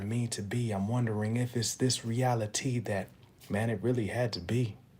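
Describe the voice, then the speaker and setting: A quiet, somewhat breathy man at a fairly slow pace, his intonation monotone and flat. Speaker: motivational podcaster. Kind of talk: motivational monologue with spoken-word poetry. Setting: at home, early morning. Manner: kept low and quiet; rhythmic, rhyming delivery.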